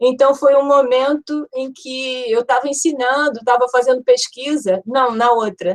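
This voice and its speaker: Dry and close with no echo, a woman's high voice moves fairly slowly with hardly any pauses and fairly even intonation. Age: 60s. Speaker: architecture professor. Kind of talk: academic seminar talk. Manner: hesitant, repeats words.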